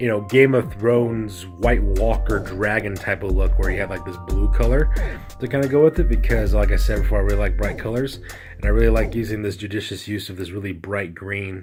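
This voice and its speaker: A man talks at a fairly quick pace in an enthusiastic tone. Music plays in the background. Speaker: miniature wargaming hobbyist. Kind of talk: hobby tutorial talk. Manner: casual, enthusiastic.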